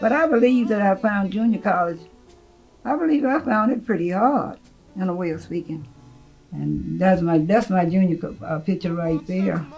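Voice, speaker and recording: Music plays in the background as a woman talks at a moderate pace with long, frequent pauses. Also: medium pitch for a woman, lively intonation. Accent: Southern US. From Tennessee, USA. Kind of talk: interview answer.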